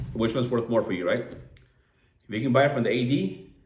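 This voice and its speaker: A man speaks in a Californian accent with ordinary pitch variation. Room echo is audible. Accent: Californian American English. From Southern California (San Diego). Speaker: watch enthusiast vlogger. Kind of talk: casual video review. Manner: casual, filler-heavy.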